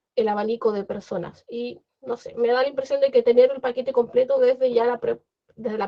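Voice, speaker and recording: A woman's high-pitched voice with fairly even intonation. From Chile. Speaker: translator. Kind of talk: panel discussion. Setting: video call.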